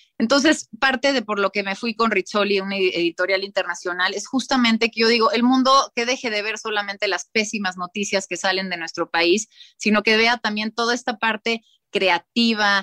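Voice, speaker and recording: Here a woman speaks in a bright, sharp tone. The sound is dry and close, with no echo. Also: fairly high pitch for a woman, ordinary pitch variation, moderate pace. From Mexico City. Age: 40s. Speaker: interior designer and author. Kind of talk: interview. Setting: video call.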